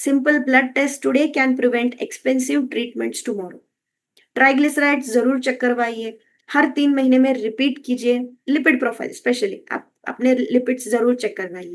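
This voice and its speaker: In a quiet background, a woman talks with a high pitch and ordinary pitch variation. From Karnataka, India. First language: Kannada (speaking Hindi). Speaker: wellness coach. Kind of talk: health talk. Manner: Hindi-English code-switching with filler hesitations.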